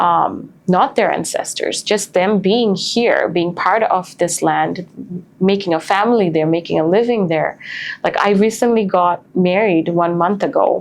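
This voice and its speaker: Over noticeable background noise, a woman speaks fairly slowly at a medium pitch, with ordinary pitch variation and very even loudness. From Bangladesh. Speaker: podcast host. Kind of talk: interview conversation.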